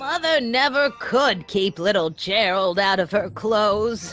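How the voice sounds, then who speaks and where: A woman's cartoonish character voice at medium pitch, fairly slow pace, with clear music in the background. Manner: scolding, moralizing.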